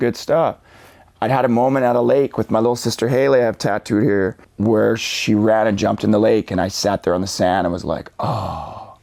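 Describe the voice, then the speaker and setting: An animated man with a Western Canadian accent, medium pitch, ordinary pitch variation and a fairly quick pace. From Canada (Vancouver suburbs, British Columbia). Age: 40s. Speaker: motivational speaker. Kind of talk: podcast interview. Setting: studio. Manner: casual, animated storytelling.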